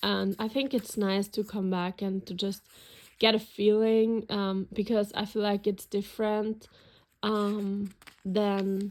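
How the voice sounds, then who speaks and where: In a very clean recording with a silent background, a woman speaks very slowly at medium pitch in a German accent with monotone, flat intonation. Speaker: planner and journaling YouTuber. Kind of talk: casual flip-through video. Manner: hesitant, many fillers.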